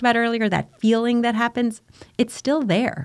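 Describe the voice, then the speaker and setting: Spoken at a fairly quick pace, this is a normal speaking voice. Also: woman. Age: 50s. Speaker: bereaved mother and charity founder. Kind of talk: casual interview conversation.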